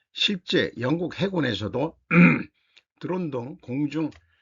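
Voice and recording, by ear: A man puts on a hoarse, raspy character voice at a fairly high pitch. He goes at a fairly slow pace with lively intonation.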